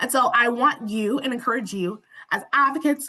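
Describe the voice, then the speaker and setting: Here a woman speaks at a high pitch with very wide pitch swings. Her tone comes across bright and sharp. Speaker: webinar presenter. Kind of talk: webinar presentation. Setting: online webinar with interpreters.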